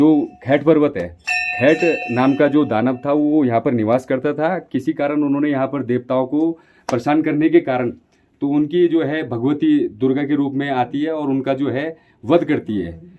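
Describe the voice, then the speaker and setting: Using a normal speaking voice, this man shows ordinary pitch variation. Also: fairly high pitch for a man. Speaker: local guide. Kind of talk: interview.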